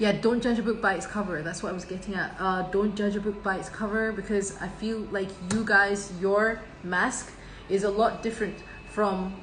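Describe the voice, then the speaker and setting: A woman with a slight Scottish accent speaks at a moderate pace in a medium pitch, her intonation flat and monotone. The room echoes audibly, and background noise is noticeable. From Scotland. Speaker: tarot reader. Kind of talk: tarot reading monologue. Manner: halting, many fillers and restarts.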